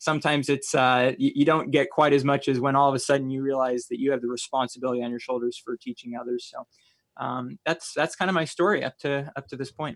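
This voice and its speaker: In a dry, close sound with no echo, a man with an American accent talks at a very fast pace, using a fairly high pitch and fairly even intonation. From US Midwest, mainly Iowa. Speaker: Baptist college teacher and radio station manager. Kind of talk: casual theological discussion. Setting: remote call from a radio station office.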